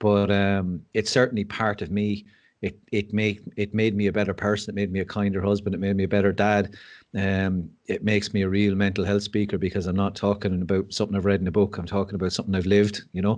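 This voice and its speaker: A man with an Irish accent speaks very fast at a fairly low pitch. His intonation stays monotone and flat over a quiet background. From Ireland. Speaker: mental health speaker and school assistant principal. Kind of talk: podcast interview.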